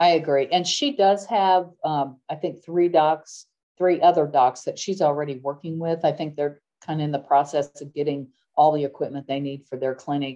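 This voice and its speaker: A woman's very deep, low voice with a dark, mellow tone, fairly even intonation, and a quiet background. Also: moderate pace. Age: 60s. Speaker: nonprofit founder. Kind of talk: podcast interview.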